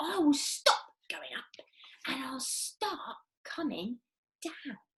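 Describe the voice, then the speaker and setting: A woman speaks in a put-on character voice at an extremely high pitch. She goes very slowly, her pitch swinging very widely. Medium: read story. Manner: loud, shrill.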